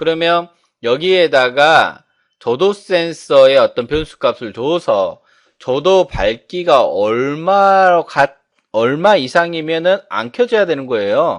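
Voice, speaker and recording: Against a quiet background, a man with a fairly high voice speaks with very wide pitch swings. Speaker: instructor. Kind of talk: lecture.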